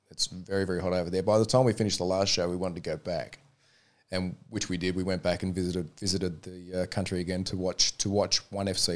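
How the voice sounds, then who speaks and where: Speaking with an Australian accent, a man has a very deep, low pitch and a fairly quick pace. The recording is very clean, with a silent background. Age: 40s. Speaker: mixed martial arts referee. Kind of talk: interview.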